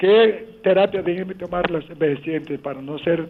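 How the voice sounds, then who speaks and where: The speech keeps a moderate pace and fairly even intonation. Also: man. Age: 70s. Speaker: caller, blind older listener. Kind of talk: call-in question.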